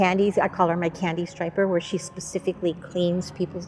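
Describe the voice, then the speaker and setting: Music can be heard behind the voice. The delivery is fairly quick. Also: woman. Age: 70s. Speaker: animal sanctuary volunteer, retired educator. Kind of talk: documentary interview.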